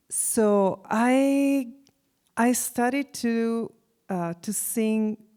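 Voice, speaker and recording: Speaking very slowly in an Italian accent, a woman with a fairly high pitch and a dark, mellow tone leaves long, frequent pauses. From Italy, Venice area. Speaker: musician and university faculty. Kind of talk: interview.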